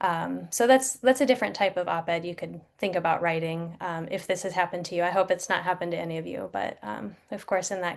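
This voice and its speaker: Vocal fry runs through this woman's voice. She speaks at a fairly quick pace. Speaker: journalist and media consultant presenting. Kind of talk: webinar presentation. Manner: fast.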